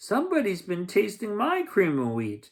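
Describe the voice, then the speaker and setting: A bellowing put-on character voice, fairly high in pitch, moves along at a moderate pace. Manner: roaring, angry.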